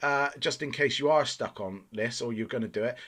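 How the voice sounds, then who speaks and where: With a Bristol accent, a man speaks at a medium pitch and a moderate pace. The recording is very clean, with a silent background. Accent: terrible Bristol accent, self-described. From England, Bristol. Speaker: gaming youtuber. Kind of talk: video game review commentary. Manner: casual, many filler 'uh's.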